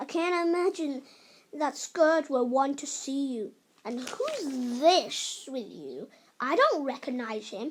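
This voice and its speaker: A woman performs a put-on character voice. She pitches it high. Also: fairly slow pace. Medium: read story. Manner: gruff, hostile.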